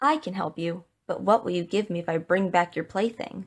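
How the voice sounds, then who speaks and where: A woman puts on a croaky character voice at a medium pitch, talking at a fairly quick pace. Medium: read story. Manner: croaking.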